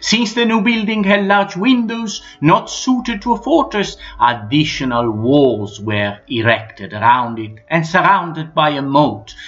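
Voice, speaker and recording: Over noticeable background noise, a man's fairly high voice moves through very wide pitch swings. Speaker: history narrator. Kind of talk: documentary narration.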